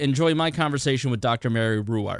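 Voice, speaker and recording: Speaking with an Indiana accent, a man with a medium-pitched voice uses lively intonation. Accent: Hoosier (Indiana). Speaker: podcast host. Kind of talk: interview conversation.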